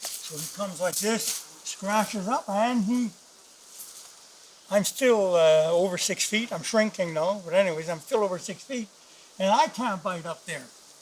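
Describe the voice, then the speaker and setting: Background noise is noticeable throughout. Pitch varies ordinarily, with long, frequent pauses. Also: man, high pitch for a man, moderate pace. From northern Canada. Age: 70s. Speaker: retired hunting guide. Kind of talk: outdoor tutorial. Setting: outdoors in the woods. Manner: casual, with hesitations.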